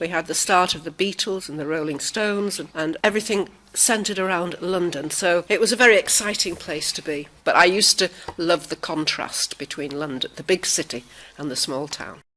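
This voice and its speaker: A woman speaks in a Cumbrian accent at a fairly quick pace. Her pitch sits fairly low, and her loudness swings widely. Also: ordinary pitch variation. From northern England, Barrow-in-Furness, Cumbria. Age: 70s. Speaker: retired linguist. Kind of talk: personal reminiscence.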